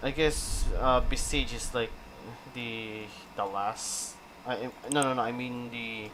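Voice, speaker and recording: With long, frequent pauses, a man at a medium pitch talks very slowly and fairly evenly, amid noticeable background noise and audible room echo. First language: not English. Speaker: gaming streamer. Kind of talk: live stream chat while building. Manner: slow, halting with many repetitions.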